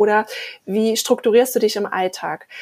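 Using a plain, everyday voice, a woman speaks at a moderate pace and a fairly high pitch. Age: 40s. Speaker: podcast co-host. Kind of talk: casual chat.

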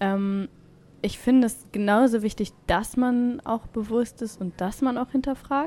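With ordinary pitch variation, the voice has a dark, mellow tone and moves at a fairly slow pace. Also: woman, fairly high pitch for a woman. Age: 20s. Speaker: photographer and student. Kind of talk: personal reflection monologue. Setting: in-person recording in a holiday group retreat.

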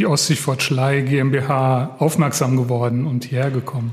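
A man's somewhat breathy voice keeps fairly even intonation and a fairly slow pace. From Hesse. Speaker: podcast host. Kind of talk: interview. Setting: on location.

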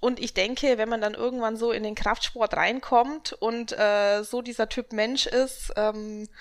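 A woman at a very slow pace and fairly high pitch, on a very clean recording with a silent background. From Augsburg, Bavaria. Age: 20s. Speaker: bikini fitness athlete and coach. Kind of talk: casual interview.

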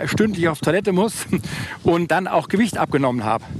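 In a Hessian accent, a man talks fairly quickly at a high pitch, with noticeable background noise behind him. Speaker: business executive with diabetes. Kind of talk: casual chat. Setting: outdoors.

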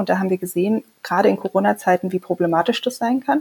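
A woman talks at a very fast pace in a dark, mellow tone that is somewhat breathy, with ordinary pitch variation. The sound is dry and close with no echo, and the recording is very clean with a silent background. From Saxony, Leipzig. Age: 30s. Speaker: member of parliament and physician. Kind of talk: casual chat.

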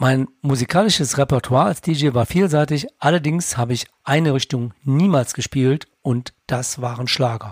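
At a moderate pace, a man with a fairly high pitch sounds somewhat breathy, with ordinary pitch variation and a dry, close sound with no echo. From Lower Rhine, Germany. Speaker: finance podcaster, bank clerk. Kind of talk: scripted narration.

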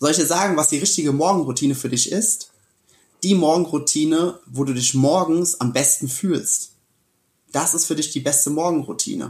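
A man speaks at a moderate pace with a fairly high pitch. His tone is animated, with ordinary pitch variation. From Germany, Westerwald (Rhineland-Palatinate). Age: 20s. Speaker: keynote speaker and coach. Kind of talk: casual interview.

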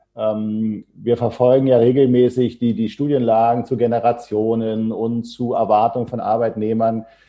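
A man talks at a fairly slow pace and a medium pitch, his intonation monotone and flat. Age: 50s. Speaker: HR consultancy founder. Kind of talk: podcast interview.

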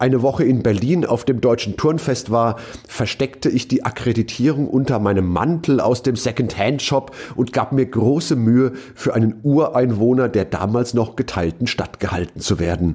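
With a dark, mellow tone, the voice keeps a moderate pace, very even loudness, and hardly any pauses. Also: man, medium pitch for a man, ordinary pitch variation. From western Germany (Rhineland-Palatinate), partly South Tyrol. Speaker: keynote speaker and podcast host. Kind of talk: reading aloud his own written essay.

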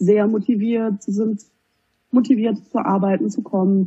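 At a moderate pace, a woman talks in an unremarkable speaking voice pitched fairly high. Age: 20s. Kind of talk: interview.

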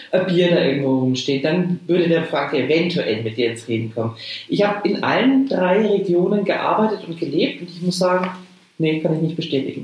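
Over noticeable background noise and audible room echo, a woman speaks at a fairly quick pace with a fairly low pitch and very wide pitch swings. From Lower Franconia, Rhön (Münnerstadt). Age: 50s. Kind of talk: casual chat. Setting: video call.

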